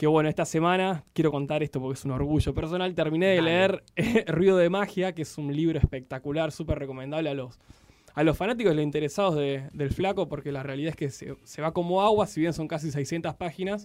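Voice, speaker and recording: A man in a Rioplatense accent, fairly high in pitch, at a fairly quick pace with hardly any pauses and ordinary pitch variation. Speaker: radio host. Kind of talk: casual chat.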